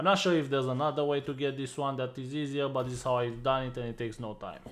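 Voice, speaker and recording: Speaking very fast with a non-native accent, a man keeps a medium pitch and fairly even intonation. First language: not English. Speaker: gaming youtuber. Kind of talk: game guide voiceover. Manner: casual, many filler uhs.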